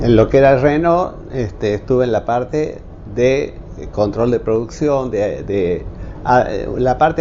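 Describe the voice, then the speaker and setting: Speaking at a fairly slow pace, a man with a medium pitch uses ordinary pitch variation over noticeable background noise. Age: 70s. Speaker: retired engineer and technical school teacher. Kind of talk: interview testimony. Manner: halting, many fillers.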